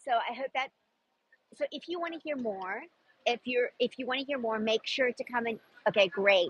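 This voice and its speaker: An animated woman with an American accent and a high pitch uses lively intonation and long, frequent pauses, with a dry, close sound and no echo. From South Africa. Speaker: personal stylist and clothing seller. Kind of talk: live-stream sales chat. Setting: outdoors in a busy park.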